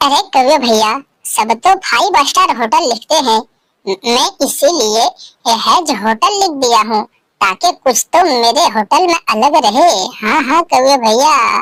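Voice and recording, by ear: In a cartoonish character voice, a woman talks with a high pitch, lively intonation and a fairly slow pace.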